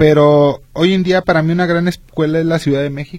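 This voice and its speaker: Speaking at a high pitch, a man keeps his intonation fairly even. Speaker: radio co-host. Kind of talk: radio talk show. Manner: halting.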